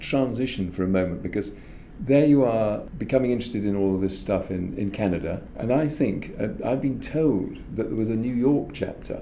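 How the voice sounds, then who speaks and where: This man has a fairly low pitch and lively intonation at a moderate pace. His voice carries audible room echo. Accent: English. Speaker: podcast host. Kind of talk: interview.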